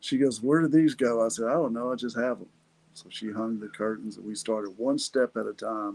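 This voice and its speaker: Speaking with fairly even intonation, a man keeps to a medium pitch. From Texas. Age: 60s. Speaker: podcast host, lawyer. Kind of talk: personal testimony. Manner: casual.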